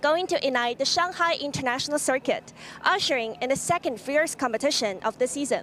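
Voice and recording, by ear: At a fairly quick pace, a woman speaks in a high pitch with ordinary pitch variation and a fairly bright tone.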